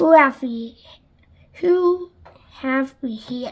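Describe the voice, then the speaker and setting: A woman's put-on character voice, high in pitch. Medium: read story. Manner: chuckling, sinister.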